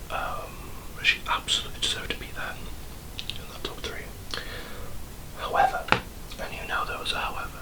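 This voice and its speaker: A man is whispering at a moderate pace. There is noticeable background noise. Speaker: ASMR creator. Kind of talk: ASMR whisper ramble while doing makeup. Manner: whispered, rambling, chatty.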